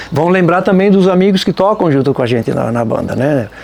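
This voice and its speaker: A high-pitched man with a strong Santa Catarina accent at a fairly quick pace, amid noticeable background noise. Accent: strong local Nova Trento. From Nova Trento, Santa Catarina, Brazil. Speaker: folk band musician. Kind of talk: documentary interview. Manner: casual, conversational.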